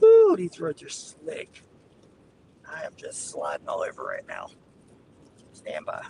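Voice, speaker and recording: Over noticeable background noise, a man speaks at a fairly slow pace. He leaves long, frequent pauses, and his loudness swings widely. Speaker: storm chaser live streamer. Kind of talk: live commentary while driving. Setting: in a car. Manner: casual, chatty.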